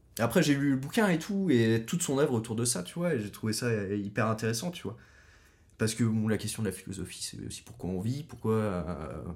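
A man with an unremarkable speaking voice, medium pitch, lively intonation and a fairly quick pace. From Brittany, Pays Bigouden. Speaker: podcast guest. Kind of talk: casual chat.

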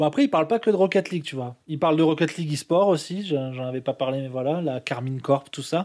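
In a very clean recording with a silent background, a man speaks in a plain, everyday voice, fairly high-pitched with ordinary pitch variation. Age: 30s. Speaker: gamer. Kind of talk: casual chat.

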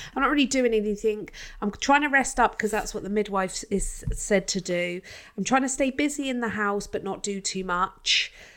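Woman with a British accent, fairly high pitch and moderate pace in a very clean recording with a silent background. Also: ordinary pitch variation. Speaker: podcast host. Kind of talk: casual chat.

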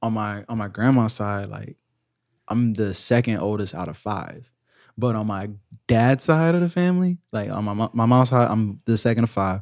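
A man with an American accent speaks at a moderate pace with lively intonation, on a very clean recording with a silent background. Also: medium pitch for a man. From US South, Georgia (Augusta). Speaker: content creator and Army veteran. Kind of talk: casual chat.

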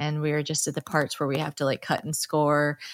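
A woman with a very deep, low pitch. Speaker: podcast co-host. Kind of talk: casual chat. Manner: laughs often, filler-heavy.

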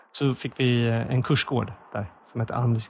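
A man talks at a medium pitch, somewhat breathy. His intonation is monotone and flat. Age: 40s. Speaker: comedy podcast host. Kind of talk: casual chat. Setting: small office.

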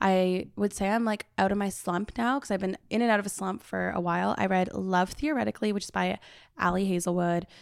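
Using an ordinary speaking voice, a woman talks at a medium pitch and a fairly quick pace with fairly even intonation. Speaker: podcast host. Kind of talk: casual chat.

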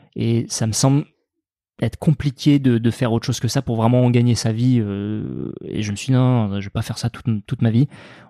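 This man has a normal speaking voice at a medium pitch and a moderate pace. The recording is very clean with a silent background and a dry, close sound with no echo. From France, Dordogne (Périgord noir, Sarlat). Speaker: farmer and cooking video maker. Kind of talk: casual chat.

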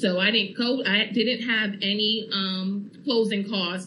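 A woman at a fairly slow pace, fairly even in intonation, with audible room echo and noticeable background noise. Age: young. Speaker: first-time homeowner. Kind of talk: radio testimony interview.

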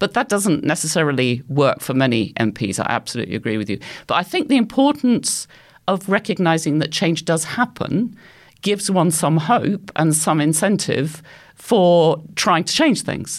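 The recording is very clean and the background silent. The delivery is moderately paced. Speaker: anthropology professor. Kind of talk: panel discussion.

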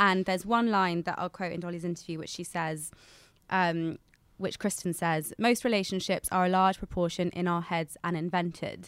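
Heard in a very clean recording with a silent background, a woman with an ordinary speaking voice and a fairly low pitch talks at a moderate pace with fairly even intonation. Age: 20s. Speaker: podcast co-host and lifestyle writer. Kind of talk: casual chat.

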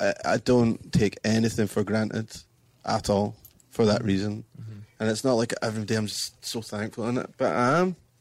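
On a very clean recording with a silent background, a man with a Scottish accent talks with ordinary pitch variation. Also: medium pitch for a man, moderate pace. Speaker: musician in a band. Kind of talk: interview conversation.

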